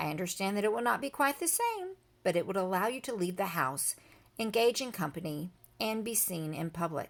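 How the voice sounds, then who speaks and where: A female-sounding, raspy put-on character voice sits at a middle pitch. It moves at a fairly quick pace. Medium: read story. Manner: formal, polite.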